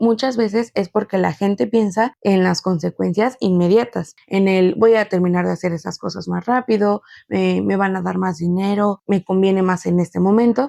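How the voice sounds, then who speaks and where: On a very clean recording with a silent background, a woman's medium-pitched voice has a dark, mellow tone. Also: ordinary pitch variation, dry, close sound with no echo. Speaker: podcast host. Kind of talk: solo podcast monologue. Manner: fast; casual.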